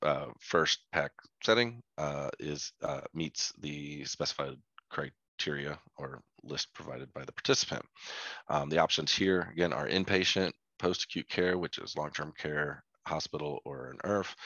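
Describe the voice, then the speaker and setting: A man talks at a fairly slow pace in a very deep, low voice with vocal fry. His pitch varies the ordinary amount, while his loudness swings widely. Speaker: health data analyst presenter. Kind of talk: technical presentation. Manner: halting, many fillers.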